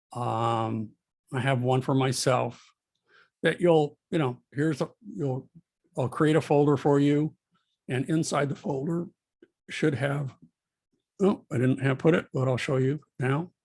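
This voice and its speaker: A somewhat breathy man's voice, fairly high in pitch, with ordinary pitch variation, a fairly slow pace, and long, frequent pauses. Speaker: college art instructor. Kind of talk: recorded lecture. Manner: halting, many fillers.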